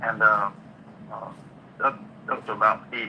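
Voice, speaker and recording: There's noticeable background noise as a man talks at a moderate pace. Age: 60s. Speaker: caller, crypto investor. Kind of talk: call-in testimony. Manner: halting, repeats words.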